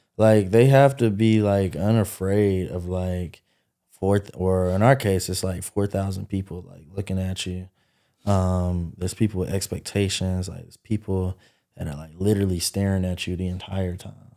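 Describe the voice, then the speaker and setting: On a very clean recording with a silent background, a man speaks at a moderate pace in a very deep, low voice with fairly even intonation and big swings in loudness. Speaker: party promoter and event entrepreneur. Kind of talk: podcast interview. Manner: monotone, little pitch change; casual with many fillers.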